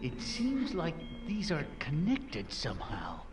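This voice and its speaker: Over loud background noise, a female-sounding voice at a medium pitch does a put-on character voice at a fairly slow pace. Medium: video game. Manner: gentle, reassuring.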